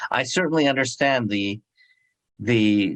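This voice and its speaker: Here a man speaks at a fairly low pitch with ordinary pitch variation. The sound is dry and close with no echo, over a quiet background. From United States, born in Japan. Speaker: moderator and food author. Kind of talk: moderated panel discussion. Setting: virtual online conversation. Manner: halting, with fillers and repeats.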